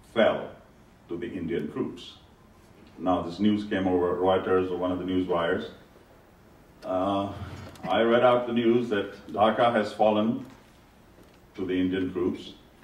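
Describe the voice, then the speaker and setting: In a room with audible echo, a man with a fairly low pitch speaks at a fairly slow pace with fairly even intonation and long, frequent pauses. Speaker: former television newscaster. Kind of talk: after-dinner speech.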